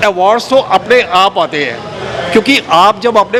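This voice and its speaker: Noticeable background noise and a moderate pace. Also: man. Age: 60s. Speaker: award recipient. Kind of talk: acceptance speech. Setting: award ceremony hall.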